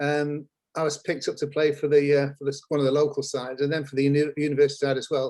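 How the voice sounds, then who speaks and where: A man with a northern English accent and a fairly high pitch speaks at a fairly quick pace. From northern England, Lancashire near Blackpool. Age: old. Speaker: former marketing executive. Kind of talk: interview. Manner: hesitant, many fillers.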